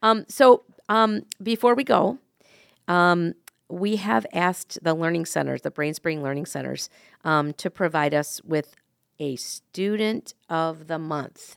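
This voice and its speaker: A woman with a plain, everyday voice and a fairly low pitch speaks at a fairly slow pace with lively intonation. The recording is very clean with a silent background, its sound dry and close with no echo. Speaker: podcast host. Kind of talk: casual chat.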